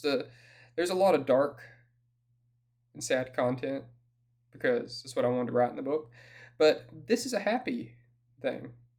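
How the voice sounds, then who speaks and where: The speaker talks at a moderate pace with a Southern US accent. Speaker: author reading from own book. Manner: reading aloud.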